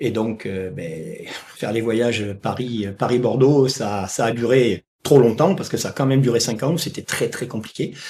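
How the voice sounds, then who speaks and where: A man's medium-pitched, somewhat breathy voice at a moderate pace, with ordinary pitch variation. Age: 60s. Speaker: retired firefighter and dog trainer. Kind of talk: interview. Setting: podcast. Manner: halting, many hesitations.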